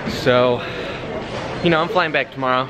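Noticeable background noise around a man talking fairly quickly. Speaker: vlogger traveling for a job interview. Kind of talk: casual vlog chat. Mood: joking, wry. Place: station. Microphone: phone near.

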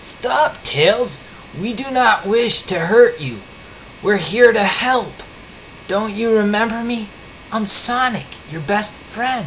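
Someone performs a put-on character voice at a fairly slow pace, leaving long, frequent pauses over clear background noise. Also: man, high pitch for a man. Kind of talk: reading a story aloud. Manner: yelling, pleading.

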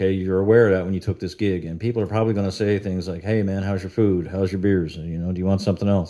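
A man with a Newfoundland accent, a dark, mellow tone and fairly even intonation, over a quiet background. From Newfoundland, Canada. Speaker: YouTuber, cover band guitarist. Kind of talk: casual monologue vlog. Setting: at home with dog. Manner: conversational, many fillers. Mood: critical, mildly exasperated. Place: home room. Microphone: studio mic.

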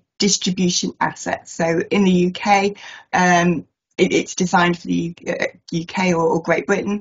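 A woman speaks at a moderate pace with medium pitch. Her voice is somewhat breathy, and the background is quiet. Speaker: asset management consultant. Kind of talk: webinar presentation. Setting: video call. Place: home room. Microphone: webcam.

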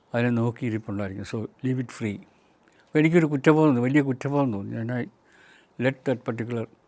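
A man's medium-pitched, plain, everyday voice, with ordinary pitch variation and big swings in loudness. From Kerala, Meenachil river area. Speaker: retired chemistry professor, nature NGO president. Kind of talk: reflective monologue talk.

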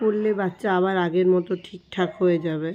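This woman's voice sits at a medium pitch. Her tone is dark and mellow, with ordinary pitch variation. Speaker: family vlogger. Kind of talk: casual vlog talk to camera.

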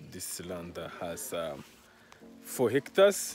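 A man speaks with a very deep, low pitch over clear music in the background. The sound is dry, with no echo. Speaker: land sale vlogger. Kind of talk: casual vlog presentation. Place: open country. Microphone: phone near.

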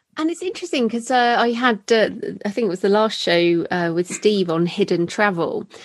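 Over noticeable background noise, a woman with an English accent speaks at a fairly high pitch with lively intonation. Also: fairly quick pace. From Britain. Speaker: podcast host, thriller author. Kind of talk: podcast interview; scripted intro.

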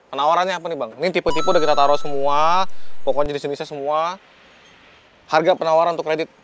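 Talking at a very fast pace, a man speaks with a fairly high pitch. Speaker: car review vlogger. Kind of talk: sales pitch. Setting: car showroom. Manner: animated; fast talker.

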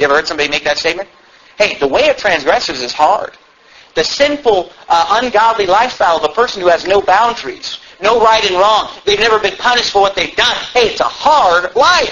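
Noticeable background noise surrounds a man with a high pitch. He talks at a fairly quick pace with lively intonation. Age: 20s. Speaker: pastor. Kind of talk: sermon. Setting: church.

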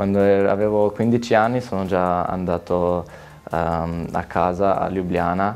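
Faint music plays behind a man with a Slovenian accent who speaks fairly slowly in a very deep, low voice. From Slovenia, near Gorizia. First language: Slovene (speaking Italian). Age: 20s. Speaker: footballer; interviewee. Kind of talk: interview. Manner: halting. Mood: calm, friendly, reflective. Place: studio. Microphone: lapel.

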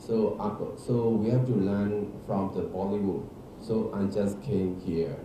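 A man's fairly low voice at a very slow pace, with audible room echo and noticeable background noise. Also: ordinary pitch variation. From Myanmar. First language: Burmese. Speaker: actor and film director. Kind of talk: press conference; press conference answer. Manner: halting. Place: hall.

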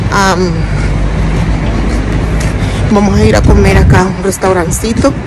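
A woman talks at a fairly slow pace against loud background noise. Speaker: vlogger. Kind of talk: casual vlog chat. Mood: cheerful, relaxed. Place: street. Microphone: phone near.

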